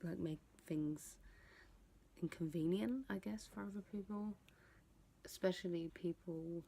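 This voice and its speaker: A woman whispers at a fairly slow pace. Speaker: vlogger. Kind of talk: casual vlog talk. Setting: at home at night. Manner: whispering.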